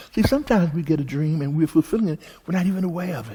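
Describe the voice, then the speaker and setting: His voice carries a dark, mellow tone. The man sounds somewhat breathy. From Texas, Houston. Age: 80s+. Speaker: minister. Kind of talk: testimony.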